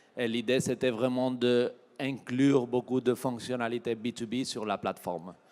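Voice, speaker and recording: A man talks with a Spanish accent at a moderate pace. His pitch is medium. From Spain. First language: Spanish (speaking French). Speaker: tech company regional manager. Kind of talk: keynote presentation. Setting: trade show stage with audience.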